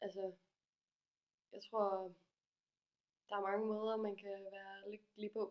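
A woman speaks very slowly at a medium pitch with monotone, flat intonation and long, frequent pauses. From Denmark, Aarhus. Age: 20s. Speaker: graphic designer, feminist project founder. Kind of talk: casual interview.

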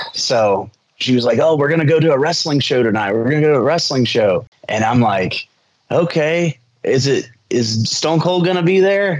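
A man with an American accent speaks at a moderate pace in a plain, everyday voice, his fairly high pitch held at very even loudness. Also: lively intonation. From Indiana, US Midwest. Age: 30s. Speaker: pro wrestler. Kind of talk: interview. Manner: casual, filler-heavy (um, uh).

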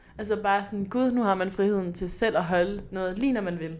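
Audible room echo surrounds a fairly quick delivery with ordinary pitch variation. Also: woman. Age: 20s. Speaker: podcast host. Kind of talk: casual chat.

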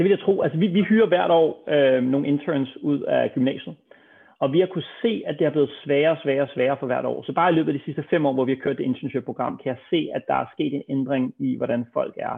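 With a plain, everyday voice, a man speaks at a fairly quick pace, his fairly high pitch showing ordinary variation. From Denmark, Copenhagen. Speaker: serial entrepreneur. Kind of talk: interview.

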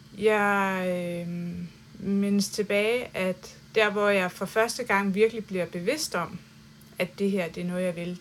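The speaker is a woman using a normal speaking voice at a medium pitch. She goes at a fairly slow pace, and her pitch varies in an ordinary way. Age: 40s. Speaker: artist. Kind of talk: casual chat. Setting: artist's studio and gallery.

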